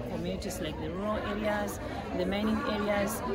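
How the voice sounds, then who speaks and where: A woman talks over loud background noise. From Zimbabwe. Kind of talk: conference interview answer. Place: hall. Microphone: phone near.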